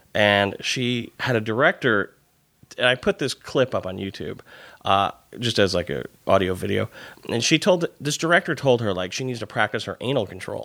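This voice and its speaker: A man's medium-pitched voice with a bright, sharp tone and lively intonation, in a dry, close sound with no echo on a very clean recording with a silent background. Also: moderate pace. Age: 30s. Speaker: podcast host and TV writer. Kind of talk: casual interview chat.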